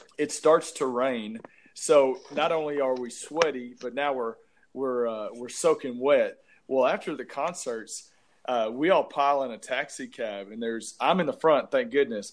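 A man with an East Texas accent, fairly high pitch, ordinary pitch variation, and a moderate pace, in a quiet background. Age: 40s. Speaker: podcast co-host. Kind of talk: casual chat.

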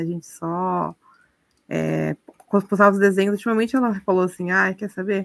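Here is a woman at medium pitch with an unremarkable speaking voice. She talks at a moderate pace. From Brazil, of Japanese descent. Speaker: Brazilian immigrant in Japan, watercolor artist. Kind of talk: casual chat.

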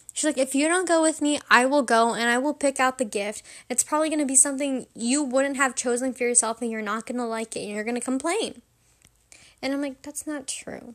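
Animated, fairly quick speech with ordinary pitch variation on a very clean recording with a silent background. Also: woman, high pitch for a woman. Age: 18. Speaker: podcast host. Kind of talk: casual monologue.

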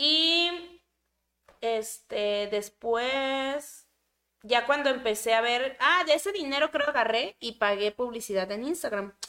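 On a very clean recording with a silent background, a woman's high, bright, sharp voice moves at a very slow pace with lively intonation. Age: 20s. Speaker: content creator. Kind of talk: casual chat. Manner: talkative.

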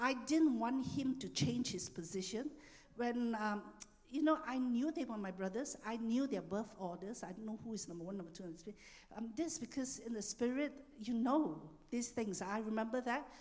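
This woman has a normal speaking voice pitched fairly high. Her intonation is lively. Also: moderate pace. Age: 60s. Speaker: church minister. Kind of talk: sermon. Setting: church.

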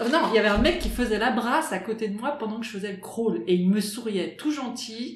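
Noticeable background noise and audible room echo surround the recording. A woman speaks at a moderate pace with a fairly high pitch. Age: 40s. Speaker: water polo player, works in advertising. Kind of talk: interview. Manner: halting.

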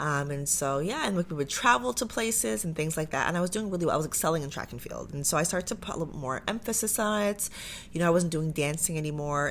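Talking at a very fast pace with hardly any pauses, a woman uses a very deep, low pitch. Her intonation is lively, and she speaks with an Ontario accent. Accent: Canadian English (Ontario). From Canada, Pickering, Ontario (Durham Region). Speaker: former Olympic athlete and entrepreneur. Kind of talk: casual interview.

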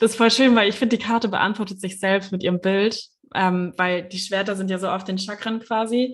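Fairly even intonation and a fairly quick pace in a normal speaking voice. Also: woman, medium pitch for a woman. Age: 20s. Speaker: Reiki master and astrologer. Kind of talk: casual interview.

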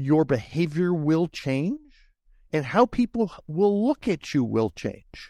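A man speaks very slowly in a fairly high pitch, his dark, mellow tone swinging very widely up and down, recorded dry and close with no echo over a quiet background. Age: 60s. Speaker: career coach. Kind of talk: interview. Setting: video call.

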